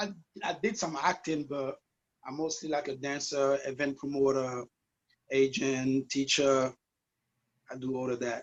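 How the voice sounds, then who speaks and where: Speaking with a non-native accent, a man at a fairly high pitch moves at a fairly slow pace with ordinary pitch variation and long, frequent pauses. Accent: noticeable foreign. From US, West Indian family from Guadeloupe. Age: 40s. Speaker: dance teacher and event promoter. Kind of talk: interview. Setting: video call. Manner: halting.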